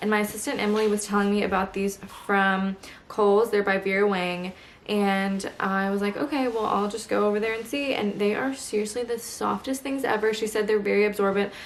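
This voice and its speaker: A woman's medium-pitched voice at a fairly quick pace, with fairly even intonation over noticeable background noise. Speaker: lifestyle vlogger. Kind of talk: casual vlog talk. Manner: speaking quietly.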